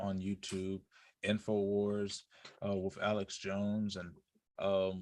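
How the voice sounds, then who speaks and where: A man with a fairly low voice speaks in a Southern US accent. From US South. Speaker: podcast co-host. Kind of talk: casual chat. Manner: halting.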